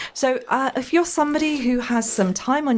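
A woman talks at a fairly quick pace in an enthusiastic, upbeat tone. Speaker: radio host. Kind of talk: live radio show patter. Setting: radio studio, live broadcast. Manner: upbeat, warm, chatty; fast-paced, enthusiastic, fluent presenter delivery.

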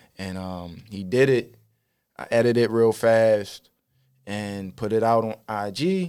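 A man talks at a very slow pace and a fairly low pitch. His loudness swings widely while his pitch varies in an ordinary way. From Baltimore, Maryland (West Baltimore, Park Heights). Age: 30s. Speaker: rapper and content creator. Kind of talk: casual interview.

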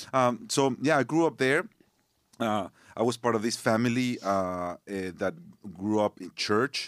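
A man with a Spanish accent uses ordinary pitch variation in a very clean recording with a silent background and a dry, close sound with no echo. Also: medium pitch for a man, fairly slow pace. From northern Mexico. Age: 40s. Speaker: worship pastor. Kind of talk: casual chat. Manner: halting.

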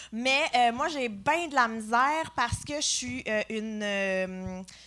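Speaking very slowly, a woman uses a high pitch with ordinary pitch variation. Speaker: comedian. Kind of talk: live podcast chat. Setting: stage with audience.

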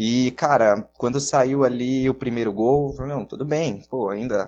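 A man uses a normal speaking voice at a medium pitch and moderate pace, with ordinary pitch variation. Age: 20s. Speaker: radio broadcaster. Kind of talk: casual chat.

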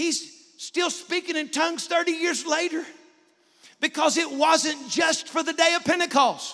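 A man's extremely high, raised and projected voice, bright and sharp in tone, flat and monotone in intonation. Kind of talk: preacher prayer at an altar call, closing a sermon. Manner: fervent, urgent, pleading, building to a climax.

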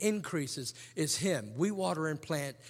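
In an ordinary speaking voice, a man with a fairly high pitch and lively intonation comes through on a very clean recording with a silent background. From England, moved to Hampton, Virginia at ten. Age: 50s. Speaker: preacher, ministry president. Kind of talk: sermon. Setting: chapel service with student audience.

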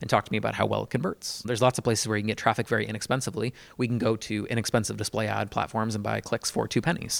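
A man at a very fast pace with hardly any pauses, fairly low pitch, vocal fry, and fairly even intonation in a dry, close sound with no echo. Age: 30s. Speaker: podcast host. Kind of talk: casual interview.

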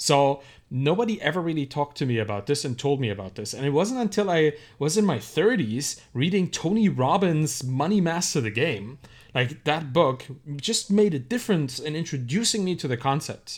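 A man's fairly high voice with a German accent, very wide pitch swings and a moderate pace, on a very clean recording with a silent background. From Germany. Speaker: entrepreneur and author. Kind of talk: casual interview.

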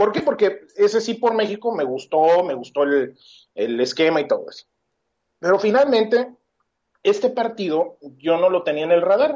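Here a man speaks at a high pitch with very wide pitch swings. His pace is moderate. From Querétaro, Mexico. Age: 30s. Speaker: political candidate. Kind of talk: interview.

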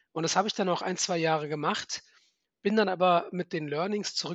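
A man with an unremarkable speaking voice, fairly even intonation and a fairly quick pace. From Germany, Frankfurt. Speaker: venture capital fund manager. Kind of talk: interview.

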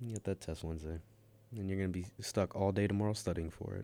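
A man's fairly low, dark, mellow voice at a very fast pace, broken by long, frequent pauses, on a very clean recording with a silent background. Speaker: college radio host. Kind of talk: casual chat. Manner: deadpan.

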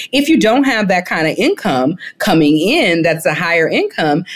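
A woman speaks at a fairly slow pace in a very deep, low voice. Her pitch varies in an ordinary way, with a slight Alabama accent. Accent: Southern US (Alabama), slight twang. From Mobile, Alabama, US South. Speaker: founder and CEO, author. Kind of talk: interview, conversational. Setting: remote call from Jamaica.

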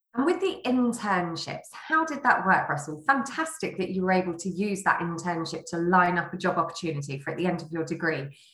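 Against noticeable background noise, a woman talks at a fairly quick pace with hardly any pauses. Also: lively intonation. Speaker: interviewer. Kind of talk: interview conversation.

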